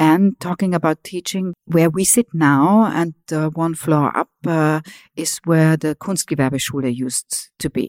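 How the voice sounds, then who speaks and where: In an Austrian accent, the speaker uses ordinary pitch variation, and the sound is dry and close with no echo. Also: woman, very deep, low pitch for a woman. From Vienna, Austria. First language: German. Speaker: museum director. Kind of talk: interview.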